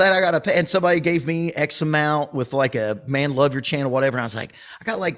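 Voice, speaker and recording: In a Southern US accent, a man speaks at a very fast pace. His pitch is fairly high, with ordinary variation. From US South. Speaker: drum teacher and YouTuber. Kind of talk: casual chat.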